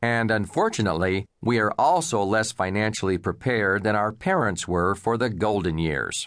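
In an ordinary speaking voice, a man talks at a moderate pace with hardly any pauses, a fairly low pitch, ordinary pitch variation and very even loudness against a quiet background. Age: 50s. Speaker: financial advisor and author. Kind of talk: audiobook narration.

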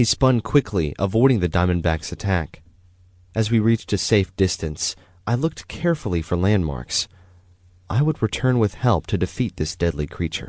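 Against a quiet background, an animated man with a fairly low voice talks at a moderate pace, his pitch swinging very widely, in a dry, close sound with no echo. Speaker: audiobook narrator. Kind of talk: dramatic first-person storybook narration for children, read aloud. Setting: studio. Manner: suspenseful, animated, building tension with hushed, urgent pacing in the snake scene; warm, gentle, storytelling tone.

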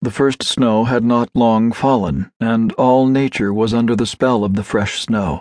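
At a fairly slow pace, a man with medium pitch speaks in a theatrical, dramatic tone with ordinary pitch variation. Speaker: audiobook narrator. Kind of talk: dramatic literary narration, reading a classic story aloud with expressive character.

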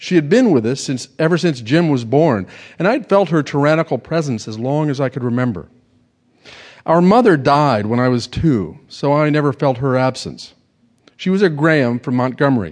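Here is a man with a normal speaking voice and a fairly high pitch. He talks at a moderate pace with lively intonation. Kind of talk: literary audiobook reading. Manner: measured, wry storyteller pacing, dry Southern-novel narration.

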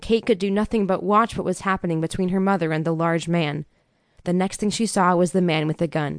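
An unforced reading voice moves through the text with ordinary pitch variation.

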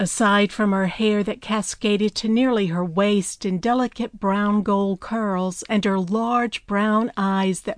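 The reading voice sounds natural, and its intonation stays fairly even.

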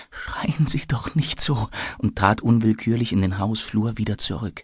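A man speaks in a somewhat breathy voice. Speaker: audiobook narrator. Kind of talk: audiobook narration; dramatic reading of a tense scene. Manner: breathless, urgent, faltering in the fear scenes.

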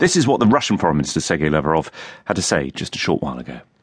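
Vocal fry colors this man's voice. His pitch is very deep and low. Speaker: radio news presenter. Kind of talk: news reading, scripted broadcast presenting. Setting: studio. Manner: formal, measured; clear, steady.

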